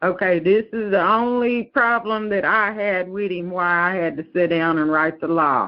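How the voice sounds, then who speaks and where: A woman speaks at a fairly slow pace, her pitch medium with ordinary variation. She has a plain, everyday voice. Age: 60s. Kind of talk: interview.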